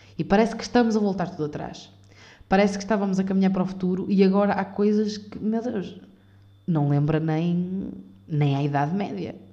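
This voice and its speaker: A dark, mellow tone in a European Portuguese accent, at a fairly quick pace, with audible room echo. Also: woman, medium pitch for a woman, ordinary pitch variation. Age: 20s. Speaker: podcaster. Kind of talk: unscripted solo monologue. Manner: halting, many fillers.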